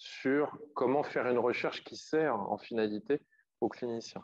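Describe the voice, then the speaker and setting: The man's voice sits at a medium pitch, his intonation fairly level, and the background is quiet. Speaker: psychologist and psychotherapist giving a talk. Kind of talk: lecture. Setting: conference, live and by video. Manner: fast.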